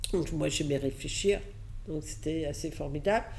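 A woman's voice with a dark, mellow tone. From Catalonia, Spain, moved to France at 6. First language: Catalan/Spanish (speaking French). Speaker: advertising agency founder. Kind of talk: interview, personal story. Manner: hesitant, many fillers.

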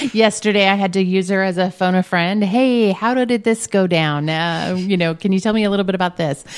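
A plain, everyday voice from a woman with an American accent, medium in pitch, at a fairly quick pace with hardly any pauses, very even loudness and ordinary pitch variation. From Indiana, Brownsburg. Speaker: chamber of commerce director. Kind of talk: interview.

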